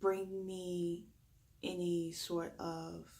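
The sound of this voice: In a Southern US accent, a raspy voice with a slightly mellow tone delivers a monotone, flat intonation amid audible room echo. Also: woman. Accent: Southern US drawl.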